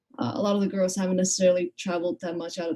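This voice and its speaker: A woman talks at a very fast pace with lively intonation and a slight Icelandic accent, in a dry, close sound with no echo. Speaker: college basketball player. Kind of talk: interview.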